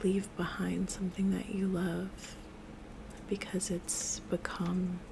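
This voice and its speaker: Someone soft-spoken is whispering over noticeable background noise. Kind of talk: ASMR spell work and tarot talk to camera. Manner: soft-spoken, whispering.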